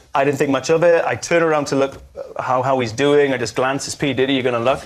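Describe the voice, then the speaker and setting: Speaking at a very fast pace with hardly any pauses, a man with a Welsh accent uses a fairly high pitch and ordinary pitch variation. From Wales. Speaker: panel show guest. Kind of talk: storytelling on comedy panel show.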